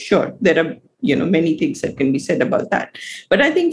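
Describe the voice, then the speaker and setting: This woman's somewhat breathy voice swings very widely in pitch. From India. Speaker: economist. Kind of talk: interview.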